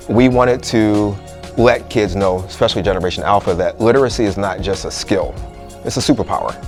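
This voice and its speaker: A man speaks with an American accent at a fairly low pitch. His pitch varies in an ordinary way, with music playing in the background. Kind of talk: interview answer.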